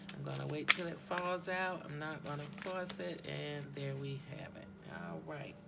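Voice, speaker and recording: Big swings in loudness mark a woman speaking at a moderate pace, with audible room echo and noticeable background noise. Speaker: tarot and chakra reader. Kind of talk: spiritual card reading. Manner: hesitant, many ums.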